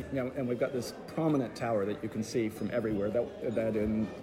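At a fairly quick pace, a man talks as music plays behind him. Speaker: vicar. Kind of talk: interview. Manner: optimistic, conversational.

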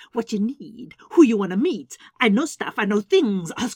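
Someone reads aloud in a natural voice, and the intonation is lively.

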